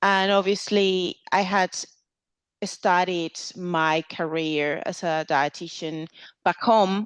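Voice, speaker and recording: Over a quiet background, a woman with a Venezuelan accent speaks at medium pitch and a very slow pace, her intonation fairly even and the sound dry and close with no echo. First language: Spanish. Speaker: clinical dietitian. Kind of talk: podcast interview.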